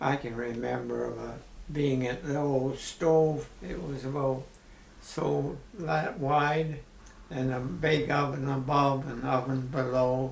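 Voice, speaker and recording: Over noticeable background noise and audible room echo, a man speaks with an Ontario accent at a very slow pace. His voice has a medium pitch and fairly even intonation. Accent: rural Ontario Canadian. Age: 80s+. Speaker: retired farmer. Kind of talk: interview.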